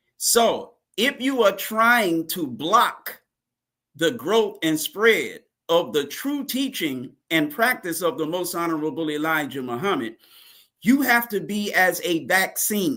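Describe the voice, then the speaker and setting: This man's raised, projected voice sits high in pitch, with a bright, sharp tone and very wide pitch swings. He speaks very slowly on a very clean recording with a silent background. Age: 60s. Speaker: religious teacher. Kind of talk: interview. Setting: live broadcast.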